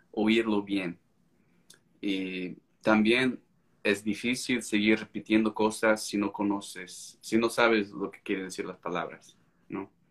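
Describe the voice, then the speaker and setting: With an American accent, a man speaks very slowly in a monotone, flat delivery. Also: fairly low pitch for a man, big swings in loudness. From United States. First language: English (speaking Spanish). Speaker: court interpreter and language-learning author. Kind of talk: casual interview on a live stream. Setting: video live stream.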